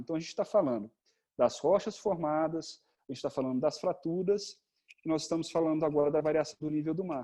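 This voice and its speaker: A man talks at a fairly quick pace. His voice has a dark, mellow tone. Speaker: geology lecturer. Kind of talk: online lecture. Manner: fast.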